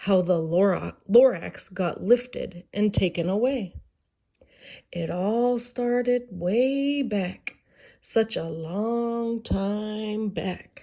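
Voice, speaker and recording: A woman puts on a gruff character voice at a medium pitch. She talks very slowly, with ordinary pitch variation. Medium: read story. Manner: secretive, gruff.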